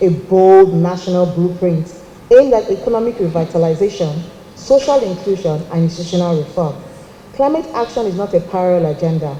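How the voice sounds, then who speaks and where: A woman with a Nigerian accent talks at a fairly quick pace and a fairly low pitch, with noticeable background noise behind her. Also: ordinary pitch variation. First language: Nigerian language, not English. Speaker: government climate official. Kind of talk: formal speech. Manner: formal.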